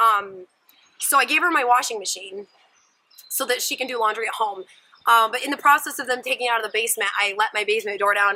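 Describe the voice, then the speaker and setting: A woman speaks with an animated tone at a fairly quick pace. Her pitch is fairly high, with ordinary pitch variation. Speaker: vlogger. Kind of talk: casual vlog.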